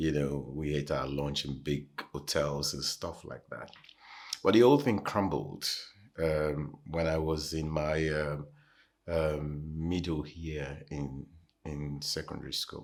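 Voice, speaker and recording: A man with a Nigerian accent speaks in a very deep, low pitch. His pace is very slow and his intonation fairly even. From Nigeria (Lagos). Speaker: pastor. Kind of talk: interview, personal testimony. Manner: hesitant, many fillers.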